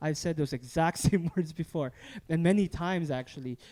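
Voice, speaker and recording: The man's voice has a dark, mellow tone, fairly high pitch, ordinary pitch variation and a moderate pace. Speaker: church podcast host; church musician. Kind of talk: casual chat. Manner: halting.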